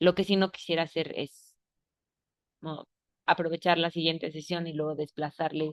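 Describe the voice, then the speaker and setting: A woman speaks with a very deep, low pitch. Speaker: workshop facilitator. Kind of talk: online class session.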